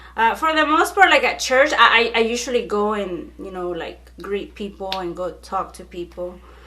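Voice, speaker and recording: A woman's animated, fairly high voice at a moderate pace, with very wide pitch swings, big swings in loudness and hardly any pauses, against noticeable background noise. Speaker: YouTuber. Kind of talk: casual chat.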